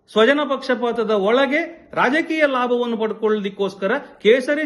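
This man's voice sits at an extremely high pitch. Its pitch varies in an ordinary way. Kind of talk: video statement responding to criticism. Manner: forceful.

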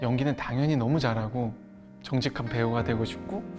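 Over music in the background, the speaker talks at a moderate pace. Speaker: actor. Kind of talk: interview answer.

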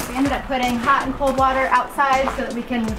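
At a moderate pace, a woman speaks while clear music plays behind her. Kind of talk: walking tour explanation. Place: farm machine.

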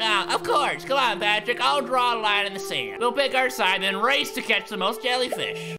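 Over loud music in the background, a man strains through a put-on character voice at a high pitch and a moderate pace. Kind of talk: amateur cartoon impression. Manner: enthusiastic, chirpy.

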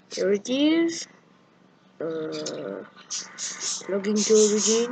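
With noticeable background noise behind her, a woman speaks very slowly, her pitch swinging very widely. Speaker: gamer showing a fix. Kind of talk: tutorial screen walkthrough. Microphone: camera far.

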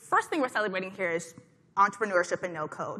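A woman talking at a very fast pace. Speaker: conference host. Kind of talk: conference talk. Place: hall. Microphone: headset.

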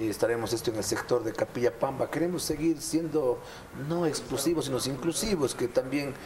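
Noticeable background noise sits under a man's voice. He speaks at a fairly quick pace with ordinary pitch variation. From Ecuador, Azuay province. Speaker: mayor. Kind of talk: TV interview. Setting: studio. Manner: animated. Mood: somber in last clip. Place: studio. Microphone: lapel.

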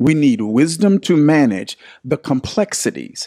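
There is a quiet background as a man talks. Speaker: pastor teaching online. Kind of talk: livestream Bible study talk. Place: studio. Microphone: studio mic.

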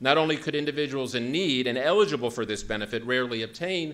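Using lively intonation, a man talks at a very fast pace. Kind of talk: conference talk. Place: hall. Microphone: podium.

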